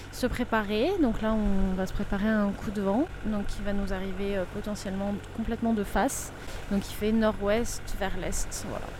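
A woman with a medium pitch speaks in a monotone, flat way, with noticeable background noise and audible room echo. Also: moderate pace. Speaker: sailboat skipper and owner. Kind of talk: audio diary on board. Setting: on a sailboat at sea.

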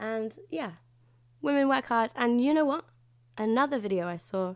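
Captured in a very clean recording with a silent background, a woman with a British accent speaks at a fairly high pitch with lively intonation. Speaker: podcast host. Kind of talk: solo monologue podcast. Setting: at home. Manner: loud.

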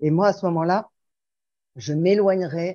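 Over a quiet background, a woman with a dark, mellow tone speaks at a moderate pace with ordinary pitch variation. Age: 60s. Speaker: sharing group participant. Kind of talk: group sharing.

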